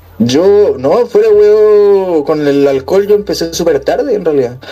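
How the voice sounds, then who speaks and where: Someone with a Chilean accent speaks at a moderate pace over noticeable background noise. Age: 20s. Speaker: podcast co-host. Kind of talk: casual chat.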